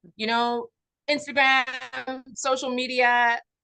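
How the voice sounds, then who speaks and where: The tone is bright and sharp, and the sound is dry and close with no echo. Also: woman. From Canada and US. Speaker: consultant, company CEO. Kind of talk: webinar interview.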